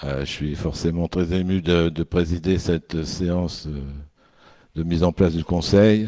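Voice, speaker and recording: A man speaks at a very slow pace with a very deep, low pitch and a dark, mellow tone. His intonation is fairly even, and the recording is very clean with a silent background. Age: old. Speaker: senior councillor chairing a town council meeting. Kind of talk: formal meeting address.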